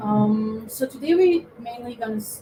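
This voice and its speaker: A woman speaks with a French accent. Noticeable background noise runs behind her. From Costa Rica. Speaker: game designer. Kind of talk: presentation talk. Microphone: too quiet.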